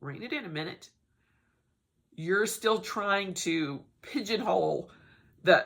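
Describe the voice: A woman puts on a raspy character voice at medium pitch with very wide pitch swings. She talks fairly slowly, with long, frequent pauses.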